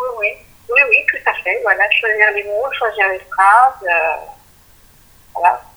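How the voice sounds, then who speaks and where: A woman talks very slowly, stopping often for long pauses. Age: 50s. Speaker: author. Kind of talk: interview. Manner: halting.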